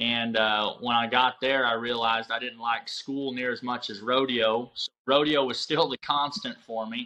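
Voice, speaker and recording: This man's voice has a bright, sharp tone. His intonation stays monotone and flat. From southwest Michigan. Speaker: rodeo company founder. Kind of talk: casual interview.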